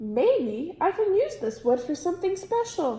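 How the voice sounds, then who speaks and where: A woman uses a put-on character voice, squeaky and at an extremely high pitch. She moves at a moderate pace with very wide pitch swings. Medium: read story. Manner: gruff, practical.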